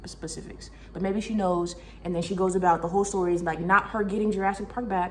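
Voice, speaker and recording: Very fast speech from a woman at a medium pitch, with audible room echo and noticeable background noise. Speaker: book reviewer. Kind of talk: casual chat. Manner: animated.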